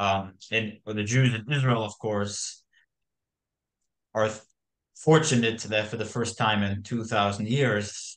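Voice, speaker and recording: With an American accent, a man speaks at a fairly slow pace in a fairly low pitch with fairly even intonation over a quiet background. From United States. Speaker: podcast co-host. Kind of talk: discussion podcast. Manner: halting, many fillers.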